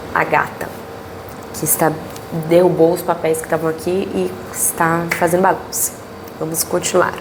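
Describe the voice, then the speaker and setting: Noticeable background noise and audible room echo surround a woman whose voice sits fairly low. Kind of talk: Bible study teaching. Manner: casual, conversational.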